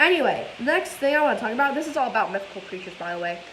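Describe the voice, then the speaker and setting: With noticeable background noise and audible room echo, a woman speaks in a high pitch. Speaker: vlogger. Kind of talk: casual vlog chat. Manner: energetic.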